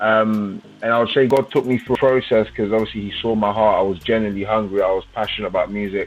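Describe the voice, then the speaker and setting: A man with a London accent talks at a very fast pace in a fairly low pitch, with monotone, flat intonation. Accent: London English (MLE). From London, England. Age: 20s. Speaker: gospel drill rapper. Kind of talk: interview. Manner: casual.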